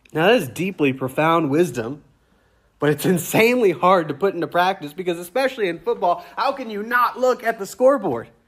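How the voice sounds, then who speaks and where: A man with a Louisiana accent speaks at a fairly quick pace in a high pitch. His voice swings very widely in pitch, on a very clean recording with a silent background. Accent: Southern US (Louisiana). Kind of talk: sermon. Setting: church.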